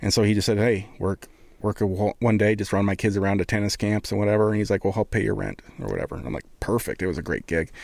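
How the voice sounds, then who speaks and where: On a very clean recording with a silent background, a man with an American accent speaks very fast. His fairly low voice carries vocal fry and fairly even intonation. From Montana. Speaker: photographer and videographer. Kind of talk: casual chat. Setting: studio.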